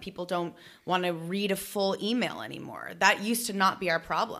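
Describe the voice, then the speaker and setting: A woman with a plain, everyday voice speaks at medium pitch with fairly even intonation. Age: 30s. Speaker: business founder and actress. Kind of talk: casual interview chat.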